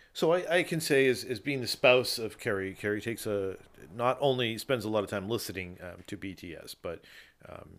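In a very clean recording with a silent background, a man with a plain, everyday voice speaks at a moderate pace, his pitch fairly low and his intonation lively. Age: 40s. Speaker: podcast host. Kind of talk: casual chat. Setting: studio.

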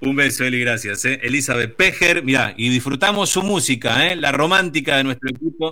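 This man has an unremarkable speaking voice, fairly high in pitch, with ordinary pitch variation. He talks at a fairly quick pace with hardly any pauses. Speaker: radio host. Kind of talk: casual chat on radio.

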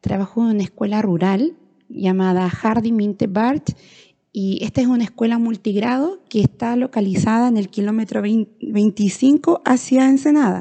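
Somewhat breathy and dark, mellow in tone, a woman speaks with a fairly high pitch. Her pace is fairly slow, with ordinary pitch variation. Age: 30s. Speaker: rural schoolteacher. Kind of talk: educational monologue. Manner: hesitant, with fillers.

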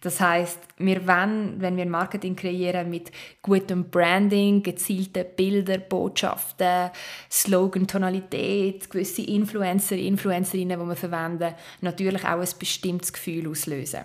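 At a fairly slow pace, a woman of medium pitch talks in a monotone, flat intonation. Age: 30s. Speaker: advertising and social media expert. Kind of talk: interview.

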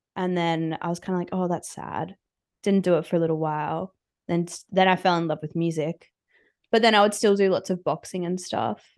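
This woman has an Australian accent and a fairly low pitch. She talks at a fairly quick pace in a monotone, flat intonation. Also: quiet background. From Australia (Brisbane). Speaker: musician. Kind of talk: casual chat.

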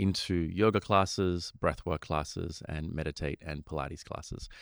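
A man with an Australian accent speaks at a very deep, low pitch. The sound is dry and close with no echo, on a very clean recording with a silent background. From Sri Lanka and Australia. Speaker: meditation teacher and mindfulness studio co-founder. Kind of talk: casual interview chat. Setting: studio.

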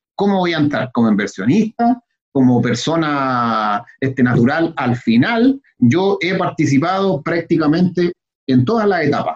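At a fairly slow pace, a man speaks with a fairly high pitch and very wide pitch swings. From Chile (Santiago). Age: 30s. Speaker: real estate investor. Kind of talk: interview.

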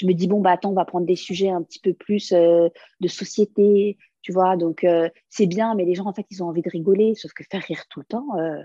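A woman speaks at a moderate pace with a medium pitch and a dark, mellow tone, her intonation fairly even but her loudness swinging widely, in a dry, close recording with no echo. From France, Lebanese family. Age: 30s. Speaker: comedian. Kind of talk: casual interview.

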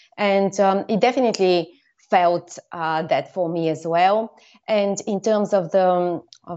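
Speaking fairly slowly with a Bulgarian accent, a woman keeps a medium pitch and fairly even intonation. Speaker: storyteller and former filmmaker. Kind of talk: interview. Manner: hesitant, many fillers.

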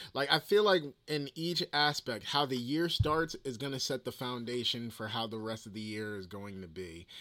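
A man with a New Jersey accent, medium-pitched, on a very clean recording with a silent background. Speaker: podcaster. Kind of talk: casual solo podcast monologue. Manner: casual, conversational.

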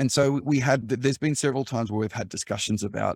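A man with an Australian accent talks at a very fast pace in a medium pitch with vocal fry, on a very clean recording with a silent background and a dry, close sound with no echo. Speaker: cybersecurity executive, former journalist. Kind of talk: interview. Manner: calm.

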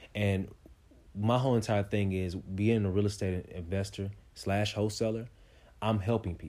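In a very clean recording with a silent background, a man with a dark, mellow tone and fairly low pitch speaks in a flat monotone at a moderate pace. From Kansas City, Kansas (Wyandotte County). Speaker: motivational speaker and real estate investor. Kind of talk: casual interview.

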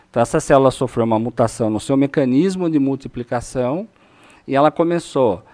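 A man talks at a fairly quick pace with a medium pitch. His tone is dark and mellow, with ordinary pitch variation. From Brazil, São Paulo state (Itu/Sorocaba). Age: 40s. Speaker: oncologist. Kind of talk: podcast interview.

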